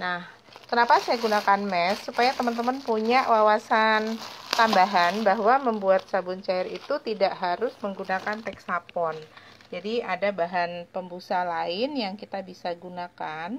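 Ordinary pitch variation marks this fairly slow speech, heard over light background noise. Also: woman. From Indonesia. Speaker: small business owner teaching homemade cleaning products; home detergent business tutor. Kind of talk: tutorial. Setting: live stream. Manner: hesitant, many fillers. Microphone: phone near.

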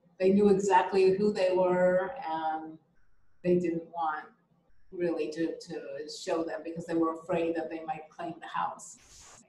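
A woman's fairly low, dark and mellow voice with an American accent, flat monotone intonation, a fairly slow pace and audible room echo. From Israel, raised partly in US (Georgia) and Europe; Israel. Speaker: artist; interviewee. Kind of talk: interview. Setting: video call. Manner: hesitant, many fillers. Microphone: video call.

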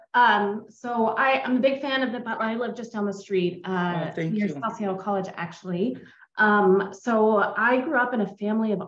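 In an American accent, a woman speaks at a fairly slow pace with a fairly high pitch and lively intonation, with audible room echo. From US Pacific Northwest, Seattle. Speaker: audience member. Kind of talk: casual chat. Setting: video call. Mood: warm, friendly. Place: home room. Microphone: video call.

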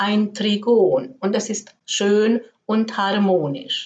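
A woman at medium pitch with a slightly mellow tone and a slow pace

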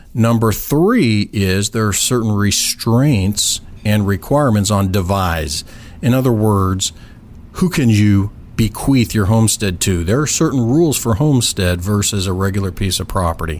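A man with a plain, everyday voice, fairly low pitch, ordinary pitch variation, a moderate pace and an American accent. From southern California. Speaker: real estate attorney. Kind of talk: interview. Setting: studio.

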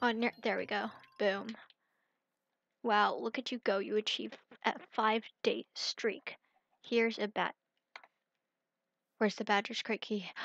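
A woman with vocal fry speaks in an enthusiastic tone at a fairly high pitch and fairly slow pace, with long, frequent pauses, sounding dry and close with no echo. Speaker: gaming youtuber. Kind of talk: gameplay commentary. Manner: subdued, less enthusiastic.

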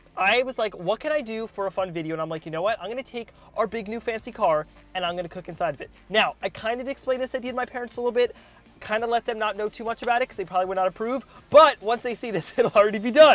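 A man at a very fast pace with big swings in loudness, dry sound with no echo, and faint music in the background. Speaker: cooking video host. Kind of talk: casual vlog chat. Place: car. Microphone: lapel.

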